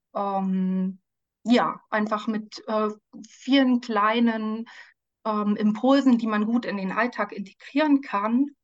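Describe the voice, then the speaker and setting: A woman's fairly high voice with ordinary pitch variation, at a very slow pace. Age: 40s. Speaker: life coach and social worker. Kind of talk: podcast interview. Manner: frequent hesitations (ähm).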